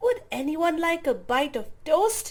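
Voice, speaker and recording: A woman speaks at a fairly slow pace in a squeaky, put-on character voice pitched extremely high. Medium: read story.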